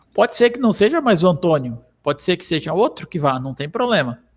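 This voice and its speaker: Pitch swings very wide in this man's speech. He keeps a moderate pace. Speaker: software trainer. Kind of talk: tutorial. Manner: frequent filler 'tá?'.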